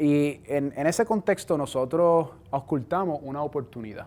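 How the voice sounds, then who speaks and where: Here is a man with a Puerto Rican accent. His pitch sits fairly high. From Puerto Rico. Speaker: cell biology professor. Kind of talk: science outreach talk.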